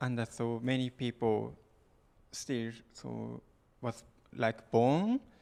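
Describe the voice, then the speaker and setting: A man speaks with a Japanese accent. His pitch sits in the medium range. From Japan, Okinawa. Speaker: musician. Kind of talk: interview answer at concert. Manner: halting.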